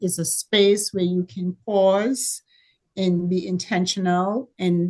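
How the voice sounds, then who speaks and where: A woman in a Caribbean accent, very slow, with fairly even intonation against a quiet background. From Caribbean, Dominica. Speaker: entrepreneur. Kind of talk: panel talk. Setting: video call.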